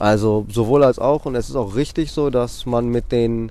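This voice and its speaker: The man has an unremarkable speaking voice of medium pitch and ordinary pitch variation. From Greece (Athens). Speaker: bike courier. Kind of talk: casual interview. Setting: outdoors.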